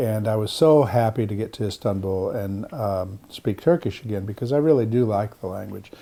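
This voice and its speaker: A man with an American accent talks in a normal speaking voice, his pitch fairly low. He keeps a moderate pace with ordinary pitch variation. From US Pacific Northwest (Seattle). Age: 60s. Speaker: Orthodox monk and translator. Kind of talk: interview.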